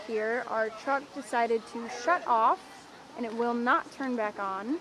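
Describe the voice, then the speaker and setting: Here a woman speaks with a high pitch. Noticeable background noise can be heard. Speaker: live sports commentator. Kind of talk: live commentary. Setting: outdoors on a balcony. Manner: loud. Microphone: camera mic, no microphone.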